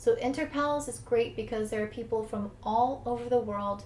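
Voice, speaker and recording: A woman with an American accent, somewhat breathy, at a moderate pace. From United States. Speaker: English teacher. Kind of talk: tutorial.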